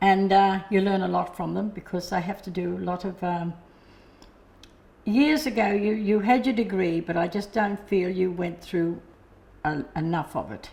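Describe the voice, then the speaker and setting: A woman with an Australian accent speaks at a moderate pace, her fairly low, somewhat breathy voice dark and mellow in tone, with ordinary pitch variation. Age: 70s. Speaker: hearing aid customer. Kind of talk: testimony. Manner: halting.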